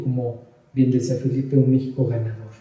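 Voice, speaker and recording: A man's medium pitch and fairly even intonation, with audible room echo. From Mexico City. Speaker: pedagogue and business consultant. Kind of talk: interview. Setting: office.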